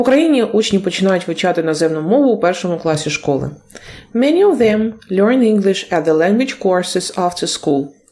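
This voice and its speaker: At a moderate pace, a woman speaks in a medium pitch with lively intonation. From Ukraine. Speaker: English teacher. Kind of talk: video lesson. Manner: halting, with self-corrections.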